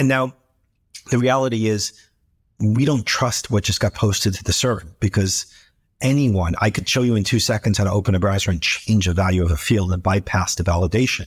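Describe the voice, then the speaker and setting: Over a silent background in a very clean recording, a man with an American accent talks at a fairly quick pace, somewhat breathy, his fairly low pitch showing ordinary variation. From New York City. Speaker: tech company founder and CEO. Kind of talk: interview.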